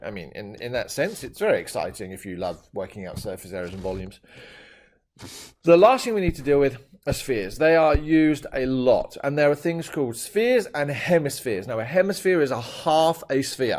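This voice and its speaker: Enthusiastic and playful in tone, a man with a British accent speaks at a fairly quick pace and a fairly high pitch, with very wide pitch swings and big swings in loudness. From Britain, now living in Australia. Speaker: maths teacher. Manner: enthusiastic, playful.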